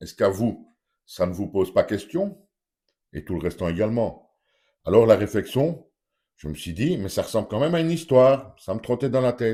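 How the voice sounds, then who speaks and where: A man at a medium pitch talks at a moderate pace in a dark, mellow tone, with very wide pitch swings and big swings in loudness. The recording is very clean with a silent background. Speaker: YouTuber commentator. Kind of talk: opinion vlog monologue. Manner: animated, rhetorical questioning.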